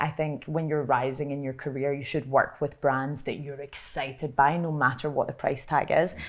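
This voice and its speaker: A woman speaks in a Glaswegian accent at a moderate pace. Her intonation stays fairly even. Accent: Glaswegian Scottish. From Scotland, Glasgow. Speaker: content creator. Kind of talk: panel discussion. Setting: live panel at an industry festival.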